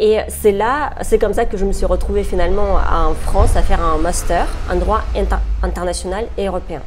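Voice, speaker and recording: A woman talks at a moderate pace, with audible room echo and noticeable background noise around her. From Russia. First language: Russian (speaking French). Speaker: human rights lawyer. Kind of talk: interview. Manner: hesitant, with frequent fillers.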